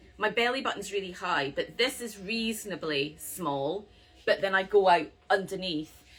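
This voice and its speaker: A woman speaks at a moderate pace in a Scottish accent. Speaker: yarn shop owner, knitting host. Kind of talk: live stream chat about knitting patterns. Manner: casual, chatty with fillers.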